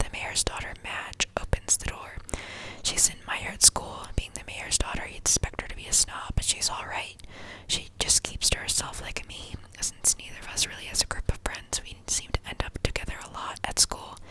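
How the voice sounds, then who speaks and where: Someone whispers over noticeable background noise. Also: moderate pace. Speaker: ASMR creator. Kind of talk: sleep story reading. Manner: whispered.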